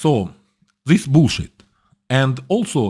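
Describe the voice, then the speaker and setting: At a very slow pace, a man with a Russian accent speaks in a dark, mellow tone with very wide pitch swings, in a very clean recording with a silent background. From former Soviet military bases, Ukrainian. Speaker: political commentator. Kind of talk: casual commentary. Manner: halting, many fillers.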